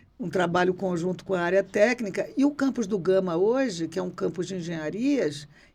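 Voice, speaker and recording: Speaking in an ordinary speaking voice at medium pitch, a woman keeps a moderate pace with ordinary pitch variation. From Rio de Janeiro, Brazil. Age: 60s. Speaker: former university rector and political candidate. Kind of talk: podcast interview.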